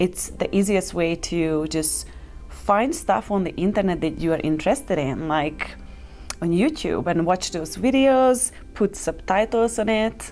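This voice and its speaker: A woman with a non-native accent speaks at a fairly slow pace and medium pitch, her lively intonation touched by vocal fry. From Hungary. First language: Hungarian. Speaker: travel vlogger and coaching facilitator. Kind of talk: casual vlog talk to camera.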